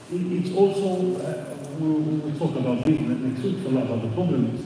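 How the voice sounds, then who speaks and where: With audible room echo and noticeable background noise, this man's fairly high voice moves at a moderate pace and shows ordinary pitch variation. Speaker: Islamic studies teacher. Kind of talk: lecture. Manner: halting, with repetitions and fillers.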